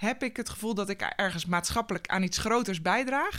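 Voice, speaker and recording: A woman with a fairly high voice talks at a moderate speed, her pitch moving in an ordinary way. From Netherlands, North Holland (Schellinghout near Hoorn). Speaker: sustainability programme manager at holiday park company. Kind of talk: interview. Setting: studio. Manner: hesitant, many fillers.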